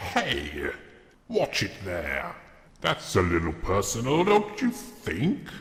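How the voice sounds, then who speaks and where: Speaking very slowly, a man performs a put-on character voice. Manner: indignant, humorous.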